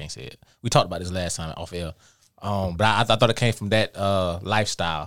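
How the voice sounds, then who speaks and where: A man with a very deep, low pitch speaks at a very fast pace. His loudness swings widely while his pitch variation stays ordinary. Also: very clean recording, silent background. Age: 30s. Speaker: podcast co-host, military veteran. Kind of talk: casual chat.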